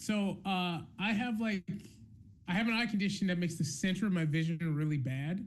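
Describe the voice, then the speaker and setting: A man with an American accent and a high pitch speaks at a moderate pace with ordinary pitch variation and very even loudness, with audible room echo. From US South, North Carolina (Charlotte). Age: 30s. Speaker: game master and convention host. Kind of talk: live-streamed interview. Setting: live stream.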